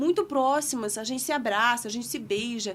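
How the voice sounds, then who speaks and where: Her words come at a fairly quick pace. The woman's pitch shows ordinary variation. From Russia. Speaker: podcast guest. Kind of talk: casual chat. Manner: halting.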